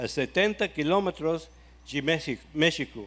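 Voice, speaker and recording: This man has a fairly high pitch and an English accent. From USA. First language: English (speaking Portuguese). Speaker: ministry founder. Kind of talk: testimony. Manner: halting.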